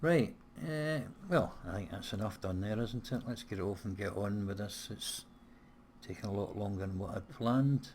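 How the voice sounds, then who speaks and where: A somewhat breathy man at a fairly low pitch and moderate pace. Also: ordinary pitch variation. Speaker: gaming let's play creator. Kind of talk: casual gameplay commentary.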